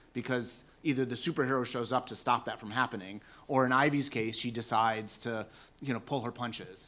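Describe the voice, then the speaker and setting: Recorded very cleanly against a silent background, a man with an American accent talks at a fairly quick pace with medium pitch and fairly even intonation. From Seattle, US Pacific Northwest. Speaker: academic panelist. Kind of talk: conference Q&A answer. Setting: conference panel with audience.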